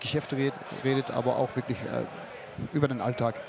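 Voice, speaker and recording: Over noticeable background noise, a man with a Dutch accent speaks at a fairly quick pace and medium pitch in a monotone, flat intonation. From Netherlands. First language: Dutch (speaking German). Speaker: fairground showman. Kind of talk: casual chat. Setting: outdoors at a fair.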